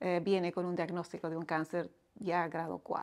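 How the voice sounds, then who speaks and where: A woman speaks in a bright, sharp tone. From Bolivia. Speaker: widow sharing her grief story. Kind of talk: testimony.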